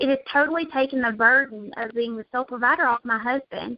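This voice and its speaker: A woman with a Southern US accent talks at a fairly quick pace and high pitch. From US South (Alabama). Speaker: network marketing distributor. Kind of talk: casual chat. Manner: animated.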